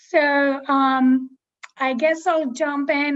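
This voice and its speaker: A woman with a high pitch speaks in a monotone with flat intonation and a non-native accent. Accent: foreign. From abroad, non-US country. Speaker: featured poet. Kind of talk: casual chat before poetry reading. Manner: slow.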